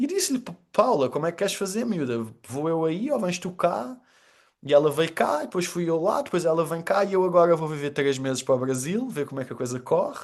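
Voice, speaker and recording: A man's high, animated voice with lively intonation and a fairly quick pace, over a quiet background. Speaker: storytelling trainer and communicator. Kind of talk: podcast interview.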